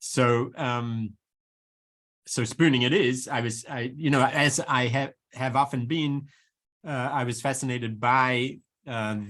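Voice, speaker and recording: A man with an American accent talks at a medium pitch with fairly even intonation. The recording is very clean, with a silent background. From New Zealand. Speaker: professor. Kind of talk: Q&A discussion after lecture. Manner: halting, many fillers and repetitions.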